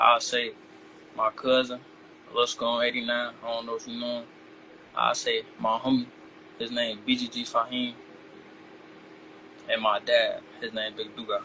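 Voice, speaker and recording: A man speaks with an American accent. He leaves long, frequent pauses over noticeable background noise. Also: moderate pace. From Chicago. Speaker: rapper. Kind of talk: interview.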